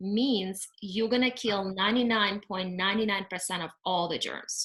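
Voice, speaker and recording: Fairly slow speech from a woman, bright and sharp in tone. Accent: non-native. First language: not English. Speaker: cleaning company owner. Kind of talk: webinar presentation. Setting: video call. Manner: halting with fillers.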